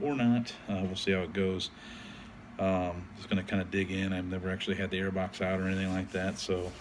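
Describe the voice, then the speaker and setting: Over noticeable background noise, a man with a very deep, low pitch talks at a fairly quick pace in a monotone, flat intonation. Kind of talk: casual vlog chat. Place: garage. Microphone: phone near.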